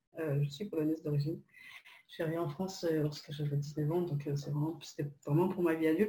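A woman speaks at a moderate pace with a very deep, low pitch, a dark, mellow tone, fairly even intonation and a somewhat breathy quality. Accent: Polish. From Poland. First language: Polish (speaking French). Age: 30s. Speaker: copywriter. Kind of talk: casual interview.

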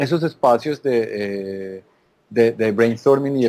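With a slight Colombian paisa accent, a man talks in a dark, mellow tone at a medium pitch with ordinary pitch variation. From Colombia, Antioquia (paisa). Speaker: insurance tech company marketing executive. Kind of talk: interview.

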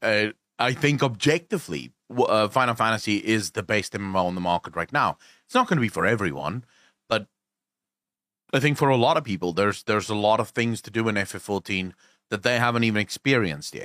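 A man with a South African accent talks at a very fast pace in a fairly low pitch with a bright, sharp tone, on a very clean recording with a silent background. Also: lively intonation, dry, close sound with no echo. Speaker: gaming content creator. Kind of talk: casual chat.

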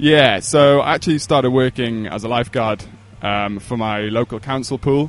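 A man's medium-pitched voice in a Welsh accent. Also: ordinary pitch variation, moderate pace. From Wales, Pembrokeshire. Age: 20s. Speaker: endurance coach. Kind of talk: podcast interview.

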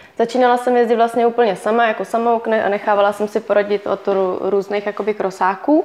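Noticeable background noise sits behind a woman who speaks at a moderate pace with fairly even intonation. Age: 20s. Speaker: enduro rider. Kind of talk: interview. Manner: halting.

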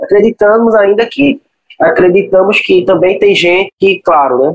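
A man speaking at a moderate pace. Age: 20s. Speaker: cinema projectionist. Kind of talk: interview. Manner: halting.

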